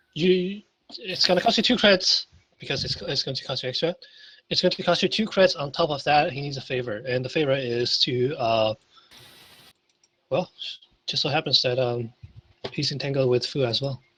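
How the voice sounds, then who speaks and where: A man's fairly high voice with a bright, sharp tone, lively intonation, a fairly quick pace and long, frequent pauses. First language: not English. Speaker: tabletop game master. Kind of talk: tabletop role-playing session. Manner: halting, many restarts.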